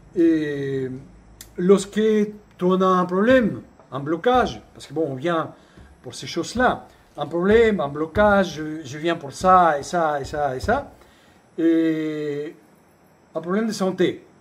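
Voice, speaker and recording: A man with a high pitch talks at a very slow pace, leaving long, frequent pauses. His intonation is lively and his loudness swings widely. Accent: non-native. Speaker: shamanic retreat center founder and teacher. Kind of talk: spiritual talk. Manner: hesitant, with repetitions.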